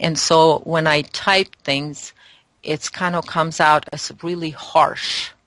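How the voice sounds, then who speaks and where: A woman's very deep, low pitch in a monotone, flat intonation at a very slow pace. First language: not English. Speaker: spiritual guest. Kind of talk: interview. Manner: halting.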